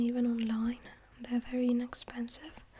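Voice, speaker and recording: A soft-spoken voice at a moderate pace. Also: woman. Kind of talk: ASMR hobby show-and-tell to camera.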